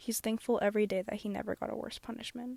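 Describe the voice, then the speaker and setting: At a fairly quick pace, a woman speaks at a medium pitch with fairly even intonation, and the sound is dry and close with no echo. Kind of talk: casual speedpaint commentary. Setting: closet, earbud microphone. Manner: monotone, self-conscious.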